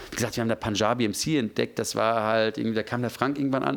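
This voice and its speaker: A man is speaking. His pace is very fast. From Germany, Ruhr area. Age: 40s. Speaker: music manager. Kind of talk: interview.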